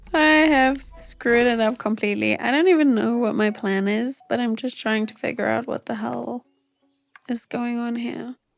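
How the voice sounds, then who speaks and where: Music plays behind a woman with a relaxed tone and a fairly high pitch. She keeps a moderate pace with ordinary pitch variation. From South Africa. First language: Afrikaans. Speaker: gaming YouTuber. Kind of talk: casual gameplay chat.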